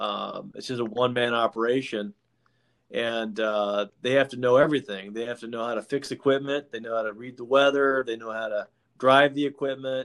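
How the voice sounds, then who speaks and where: A man with an American accent talks at a fairly quick pace in an ordinary speaking voice, his pitch medium. His intonation stays fairly even while his loudness swings a lot. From Washington State (Yakima). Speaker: lawyer and podcast host. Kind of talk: casual interview.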